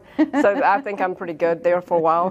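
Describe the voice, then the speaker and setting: Talking very fast, a woman with a Southern US accent speaks at a medium pitch. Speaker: real estate sales vice president. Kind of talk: interview answer.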